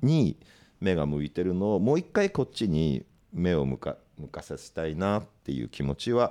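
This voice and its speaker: A man with a very deep, low pitch speaks in a calm tone that is dark and mellow, with very wide pitch swings and big swings in loudness. The recording is very clean, with a silent background. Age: 50s. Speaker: record label head and podcast host. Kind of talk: casual chat. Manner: calm, deep delivery.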